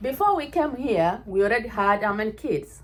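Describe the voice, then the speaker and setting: With a Kenyan accent, a woman talks at a fairly slow pace using very wide pitch swings. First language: Ekegusii (Kisii). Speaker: vlogger. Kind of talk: casual chat. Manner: animated.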